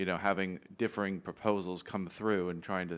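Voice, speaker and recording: A man with a plain, everyday voice and an American accent, fairly low in pitch with fairly even intonation, in a very clean recording over a silent background. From United States. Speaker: audience member. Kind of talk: audience question.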